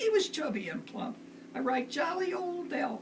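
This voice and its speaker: The pitch swings very widely. Background noise is noticeable. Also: woman. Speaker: grandmother reading to family. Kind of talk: storybook poem reading aloud.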